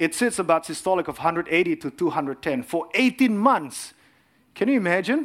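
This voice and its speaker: On a very clean recording with a silent background, a man talks fairly quickly in a high voice with lively intonation. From Indonesia. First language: Indonesian. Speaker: cardiologist and lay preacher. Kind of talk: sermon.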